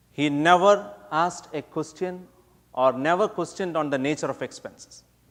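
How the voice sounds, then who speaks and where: A man with a Keralan accent, fairly high pitch, ordinary pitch variation, moderate pace. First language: Malayalam. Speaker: speech contest competitor. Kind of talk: prepared contest speech.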